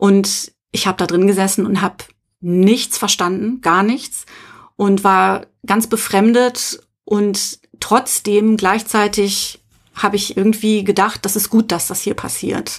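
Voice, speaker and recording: Speaking very slowly, a woman keeps a medium pitch. Her intonation is monotone and flat. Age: middle-aged. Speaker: podcast co-host. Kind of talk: personal testimony.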